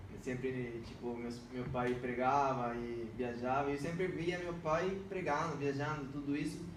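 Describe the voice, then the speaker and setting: With a Spanish accent, a man speaks at a fairly slow pace with hardly any pauses, using a fairly high pitch and ordinary pitch variation amid noticeable background noise and audible room echo. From Venezuela. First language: Spanish (speaking Portuguese). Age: 20s. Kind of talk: podcast interview, personal testimony.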